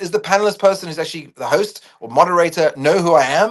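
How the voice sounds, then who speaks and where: This man speaks at a very fast pace. His pitch moves in an ordinary way. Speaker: public speaker. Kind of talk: casual talk. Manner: loud.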